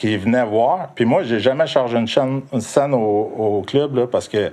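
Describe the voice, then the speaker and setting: Against a quiet background, a man speaks at medium pitch and a moderate pace with ordinary pitch variation. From Quebec, South Shore of Montreal. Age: 50s. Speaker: club DJ. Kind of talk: casual interview chat. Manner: animated.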